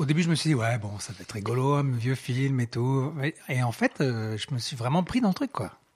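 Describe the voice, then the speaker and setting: A somewhat breathy man at medium pitch, with lively intonation and a moderate pace. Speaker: podcast host. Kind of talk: casual chat.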